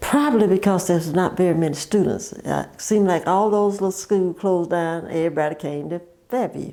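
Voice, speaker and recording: Fairly quick, medium-pitched female speech with hardly any pauses and ordinary pitch variation. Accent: Southern US. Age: 80s+. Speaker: oral history interviewee. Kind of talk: oral history interview. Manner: halting.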